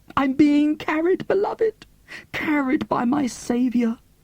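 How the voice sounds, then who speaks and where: Using a put-on character voice, a man talks at a fairly slow pace in an extremely high pitch. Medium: read story. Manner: gushing, melodramatic, calls listener "beloved".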